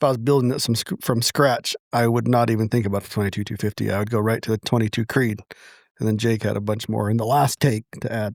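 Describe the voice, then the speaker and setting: On a very clean recording with a silent background and a dry, close sound with no echo, a man mumbles very fast at a medium pitch with fairly even intonation. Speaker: podcast co-host. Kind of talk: casual chat. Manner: mumbling.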